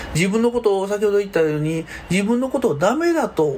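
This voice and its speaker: A man speaks at a moderate pace in a Kansai accent. Noticeable background noise runs under the recording. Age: 50s. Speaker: counselor and podcast host. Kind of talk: solo podcast monologue. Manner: casual, chatty.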